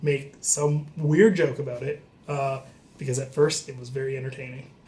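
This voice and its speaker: This man's voice sits fairly high in pitch. He talks at a moderate pace against noticeable background noise. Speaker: comedian. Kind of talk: comedic storytelling vlog. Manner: loud; animated.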